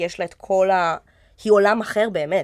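A woman speaks with monotone, flat intonation. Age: 20s. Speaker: actress. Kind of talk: casual chat.

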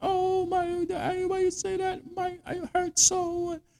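A man puts on a whiny character voice at an extremely high pitch. He speaks at a fairly slow pace with monotone, flat intonation. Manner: mocking, whining.

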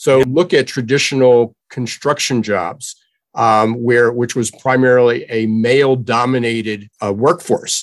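The recording is very clean, with a silent background. A man with an ordinary speaking voice talks at a medium pitch and a fairly slow pace, with fairly even intonation. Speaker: workforce trends commentator. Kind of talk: interview.

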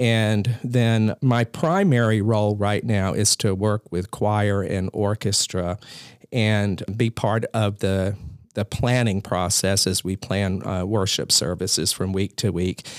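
With an American accent, a man talks at a very slow pace in a fairly low pitch with fairly even intonation. The sound is dry and close with no echo, on a very clean recording with a silent background. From US South, Columbia, South Carolina. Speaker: pastor. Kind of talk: casual chat. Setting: office.

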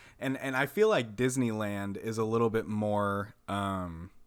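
A normal speaking voice from a man at medium pitch, with an American accent and fairly even intonation. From Texas, Amarillo. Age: 20s. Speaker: podcast host. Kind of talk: casual chat.

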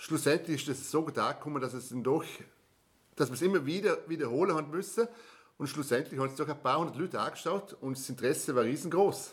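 This man speaks at a very fast pace in a Vorarlberg accent. His voice is fairly high in pitch, with ordinary pitch variation. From Austria, Vorarlberg (Bregenz area). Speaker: travel podcast host. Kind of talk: casual chat.

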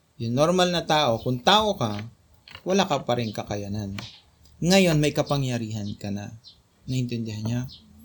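A somewhat breathy man speaks at a moderate pace with very wide pitch swings. Long, frequent pauses punctuate his speech. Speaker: Bible study leader. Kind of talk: Bible study teaching.

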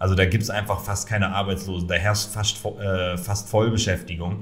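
A man keeps a moderate pace while audible room echo and noticeable background noise fill the recording. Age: 30s. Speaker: founder and managing director of an online marketing portal. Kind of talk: interview. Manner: hesitant with many fillers.

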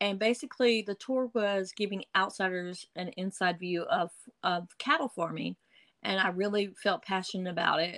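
Medium pitch from a woman with an Eastern North Carolina accent, moderate pace, and ordinary pitch variation, in a very clean recording with a silent background and a dry, close sound with no echo. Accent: Eastern North Carolina Southern. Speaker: blogger. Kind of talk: casual interview.

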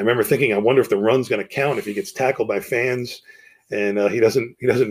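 Here a man talks at a very fast pace. His pitch is medium, and he has an American accent. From New Jersey, US. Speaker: podcast host. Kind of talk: personal monologue.

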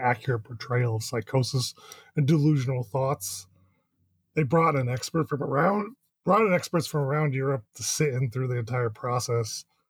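Dry and close with no echo, a man's somewhat breathy voice sits at a medium pitch, moving at a moderate pace with ordinary pitch variation. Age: 30s. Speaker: podcast co-host. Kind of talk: casual chat.

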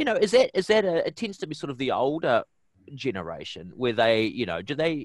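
A man talks at a fairly quick pace. He has a New Zealand accent. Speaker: podcast host. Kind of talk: interview.

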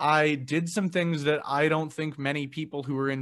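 On a very clean recording with a silent background, a man speaks with a Canadian accent. He has an unremarkable speaking voice, a moderate pace and ordinary pitch variation. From Canada, Edmonton. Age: 20s. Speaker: podcaster. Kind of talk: casual chat.

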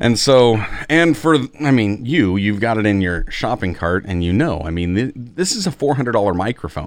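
Against a quiet background, a man speaks at a moderate pace and a medium pitch. His animated tone carries very wide pitch swings. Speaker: podcast host. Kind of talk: casual podcast chat. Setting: home recording with mic, video call. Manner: animated, jokey.

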